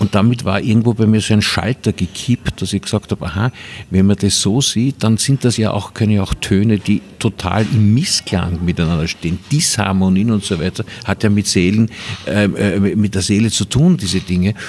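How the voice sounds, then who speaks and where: A man speaks at a moderate pace and fairly low pitch, with ordinary pitch variation, over noticeable background noise. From Vienna, Austria. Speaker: filmmaker. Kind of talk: casual interview. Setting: Viennese coffee house.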